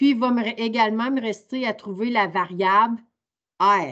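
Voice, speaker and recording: Delivery is very slow, with ordinary pitch variation over a quiet background. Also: woman. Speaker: teacher. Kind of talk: online training workshop. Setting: video call. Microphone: video call.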